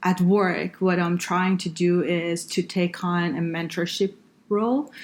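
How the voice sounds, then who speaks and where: A woman with an Iranian accent speaks very slowly at a fairly low pitch, her intonation fairly even. The recording is very clean, with a silent background. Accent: Iranian (Persian) accent in English. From northern Iran. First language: Farsi. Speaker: engineer and healthcare consultant. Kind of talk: podcast interview. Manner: hesitant, many fillers.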